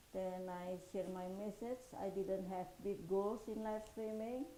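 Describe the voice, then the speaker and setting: At a very slow pace, a woman speaks in a dark, mellow tone at medium pitch with fairly even intonation and audible room echo. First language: not English. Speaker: podcast and live stream host. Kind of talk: solo live stream talk. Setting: live stream. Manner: halting, many fillers.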